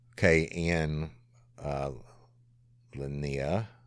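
The speaker uses ordinary pitch variation in a South Louisiana accent. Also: man. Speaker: podcast host, former police officer. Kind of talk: casual Q&A monologue.

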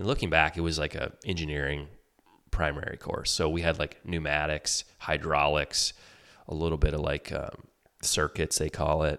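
With a Michigan accent, a man speaks at a moderate pace in a very deep, low pitch, his tone bright and sharp and his intonation monotone and flat. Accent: US Midwest (Michigan). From Michigan, outside Detroit. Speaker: ski company executive and water skier. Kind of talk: casual interview.

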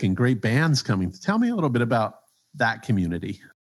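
Speaking in a plain, everyday voice at medium pitch, a man uses lively intonation in a very clean recording with a silent background. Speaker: podcast host. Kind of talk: interview conversation.

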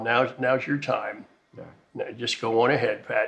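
A man performs a put-on character voice. He speaks at a fairly slow pace. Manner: gentle, encouraging.

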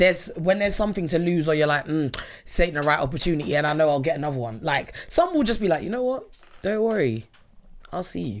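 Talking at a very fast pace, a woman uses a fairly low pitch with very wide pitch swings. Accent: London. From London (Southeast). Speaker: returning podcast guest. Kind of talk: casual chat.

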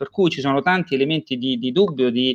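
Over a quiet background, a man talks very fast in a fairly high pitch with lively intonation, the sound dry and close with no echo. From Romagna, Italy. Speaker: IT company founder and sales director. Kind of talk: promotional interview. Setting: livestream.

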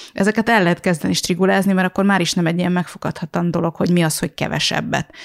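A woman talks very fast at a fairly low pitch, with vocal fry and fairly even intonation. Her loudness stays very even, and the sound is dry and close with no echo, on a very clean recording with a silent background. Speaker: podcast host and blogger. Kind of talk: casual chat. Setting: living room at home.

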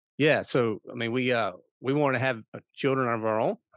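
Fairly even intonation marks this man's speech, delivered with an American accent. The background is quiet, and the sound is dry and close with no echo. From southern Virginia near North Carolina line. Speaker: men's ministry founder. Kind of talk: casual interview. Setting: video call.

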